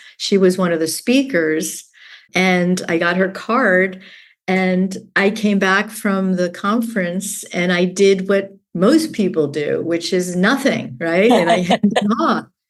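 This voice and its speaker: In an ordinary speaking voice, a woman delivers her words at a medium pitch and a fairly slow pace. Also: ordinary pitch variation. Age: 60s. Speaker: business owner. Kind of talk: interview.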